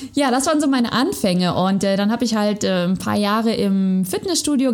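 A woman with an unremarkable speaking voice and a fairly high pitch. The recording is very clean, with a silent background. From Sauerland, western Germany. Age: 30s. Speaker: personal trainer and yoga teacher. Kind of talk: interview, casual chat.

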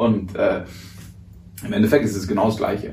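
A man speaks at a moderate pace with vocal fry. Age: 20s. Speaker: radio host and speaker. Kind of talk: casual interview.

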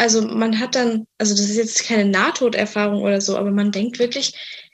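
Speaking at a moderate pace, a woman uses an ordinary speaking voice with fairly high pitch. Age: 20s. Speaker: person with anorexia sharing her experience. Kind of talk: interview testimony.

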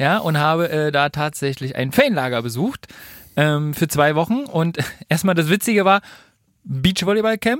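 In a dry, close sound with no echo, a man with a normal speaking voice and fairly high pitch talks at a moderate pace with lively intonation. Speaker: podcast co-host. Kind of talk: casual chat.

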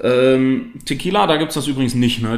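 Against noticeable background noise and audible room echo, a man talks at a very fast pace with fairly even intonation. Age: 30s. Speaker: spirits salesman. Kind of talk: casual interview. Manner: halting, many fillers.

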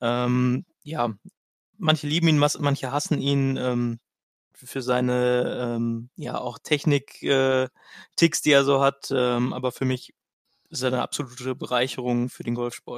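The man's intonation stays fairly even at a very slow pace. His sound is dry and close, with no echo. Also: medium pitch for a man. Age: 20s. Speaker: amateur golfer. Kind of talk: casual chat.

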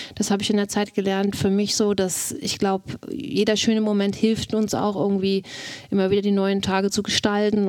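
A woman speaks at a moderate pace with a medium-pitched voice. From Mecklenburg, northeastern Germany. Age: 40s. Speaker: wife of accused murderer. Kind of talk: interview testimony. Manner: hesitant.

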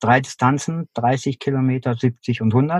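A man's voice is somewhat breathy, with fairly even intonation. The sound is dry and close, with no echo. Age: 50s. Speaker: endurance athlete. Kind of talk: interview.

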